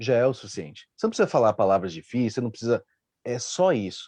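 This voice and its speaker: With a dark, mellow tone and lively intonation, the voice sounds dry and close, with no echo at all. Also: man. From Rio Grande do Sul, Brazil. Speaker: live stream panelist. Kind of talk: casual panel discussion.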